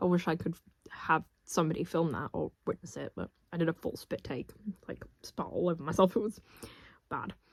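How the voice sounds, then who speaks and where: Vocal fry runs through this fairly quick delivery, which has ordinary pitch variation, long and frequent pauses, and a dry, close sound with no echo. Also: woman, fairly low pitch for a woman. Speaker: book vlogger. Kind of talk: casual vlog. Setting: parents' room at home. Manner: quiet.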